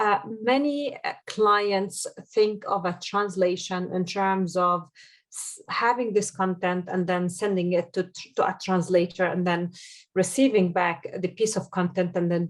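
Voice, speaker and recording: On a very clean recording with a silent background, a woman with an Arabic accent speaks at a fairly slow pace and a medium pitch. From Jordan. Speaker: SEO consultant. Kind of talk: podcast interview. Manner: halting, many fillers.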